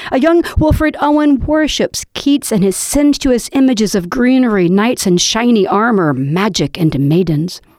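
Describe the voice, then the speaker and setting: Over noticeable background noise, a woman with a fairly high pitch talks at a moderate pace with very wide pitch swings, very even loudness and hardly any pauses. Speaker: poet and podcast host. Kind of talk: casual chat with poetry readings. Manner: animated.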